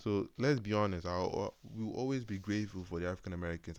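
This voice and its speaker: The man's pitch is very deep and low. He speaks fairly quickly. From Nigeria. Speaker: YouTube commentator. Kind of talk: reaction commentary. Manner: halting, frequent repetitions.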